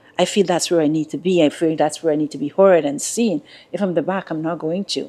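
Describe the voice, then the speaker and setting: Speaking very fast, a woman with a fairly low pitch uses fairly even intonation and a dark, mellow tone. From Guyana. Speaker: executive leader and mentor. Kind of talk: interview. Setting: in-person interview.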